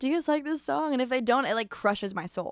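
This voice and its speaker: This woman speaks with an American accent. Her voice is high in pitch, with very wide swings. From Los Angeles, California. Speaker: country singer. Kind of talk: casual chat. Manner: fast.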